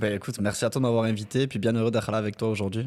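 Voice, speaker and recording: A man at a fairly low pitch, very fast pace and monotone, flat intonation. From southern France (Mazamet, near Toulouse). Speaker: marketing agency founder. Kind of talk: podcast interview.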